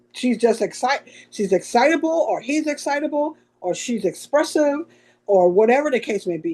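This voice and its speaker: A loud woman talks at a moderate pace, her pitch swinging very widely. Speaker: podcast co-host. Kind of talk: casual chat. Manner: loud, expressive.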